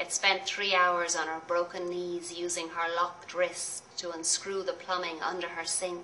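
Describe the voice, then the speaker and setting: Over noticeable background noise, a woman speaks at a fairly low pitch and a moderate pace. Her intonation is monotone and flat, with hardly any pauses. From Ireland; Dublin. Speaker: poet. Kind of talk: poetry reading.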